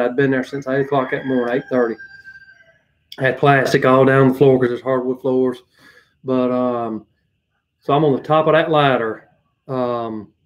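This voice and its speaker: This man has a strong Southern US accent and talks at a moderate pace with a medium pitch. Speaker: handyman. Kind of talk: casual livestream chat. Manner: rambling with many fillers.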